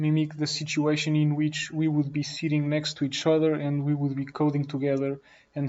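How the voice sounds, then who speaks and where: In a fairly high voice, a man speaks at a moderate pace with monotone, flat intonation. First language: not English. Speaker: programming teacher. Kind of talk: tutorial. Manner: unscripted, some self-corrections.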